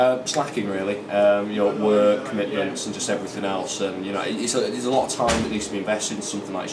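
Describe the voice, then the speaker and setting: A man with a British accent at a very fast pace, hardly any pauses and ordinary pitch variation, over noticeable background noise. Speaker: esports shoutcaster. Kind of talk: casual interview answer.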